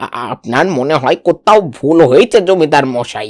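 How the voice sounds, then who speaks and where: A man's cartoonish character voice, fairly high in pitch with lively intonation at a moderate pace, in a very clean recording with a silent background. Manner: stammering, timid.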